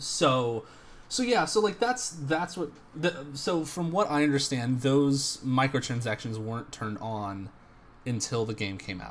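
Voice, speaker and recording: Somewhat breathy and fairly high, a man's voice moves at a fairly slow pace with lively intonation. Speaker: podcast co-host. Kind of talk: casual banter.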